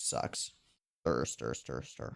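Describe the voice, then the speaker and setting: The recording is very clean, with a silent background and a dry, close sound free of echo. A man speaks with vocal fry. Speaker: anime reaction youtuber. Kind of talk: casual reaction-video chat. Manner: jittery.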